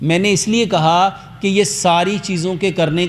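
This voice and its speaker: An animated tone with ordinary pitch variation over noticeable background noise. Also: man. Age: 50s. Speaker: herbal health doctor. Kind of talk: health talk to audience. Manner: animated, rhetorical questions.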